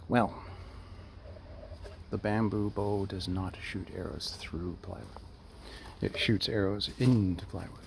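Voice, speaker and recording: The delivery is quiet and fairly slow, with long, frequent pauses. Its intonation stays monotone and flat. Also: man, fairly low pitch for a man. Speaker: hobbyist bow maker. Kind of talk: casual vlog. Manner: halting.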